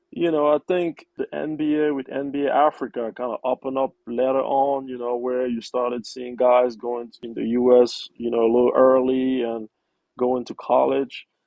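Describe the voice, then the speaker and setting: A man speaks with a Cameroonian accent at a medium pitch. His intonation is fairly even. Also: moderate pace. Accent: Cameroonian francophone English. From Cameroon, Yaounde. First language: French. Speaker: investment professional. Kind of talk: interview.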